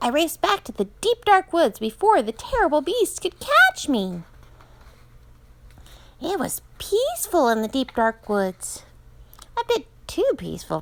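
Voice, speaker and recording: Using a put-on character voice, a woman speaks at an extremely high pitch and a moderate pace, with very wide pitch swings and long, frequent pauses. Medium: read story. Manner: indignant, playful.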